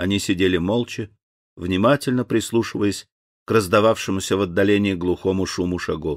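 A man speaks in a normal speaking voice at a fairly low pitch and moderate pace, with ordinary pitch variation. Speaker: actor reading an audiobook. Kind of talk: audiobook narration of a children's story.

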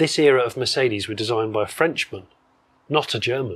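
Speaking at a moderate pace, a man with an English accent sounds somewhat breathy. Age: 40s. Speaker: classic car presenter. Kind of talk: casual chat.

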